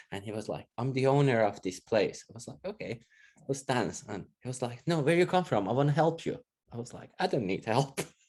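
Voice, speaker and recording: With a Persian accent, a man of medium pitch talks at a fairly quick pace, his intonation lively and his loudness swinging widely. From Iran. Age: 40s. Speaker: interviewee sharing experiences of racism. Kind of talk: casual interview.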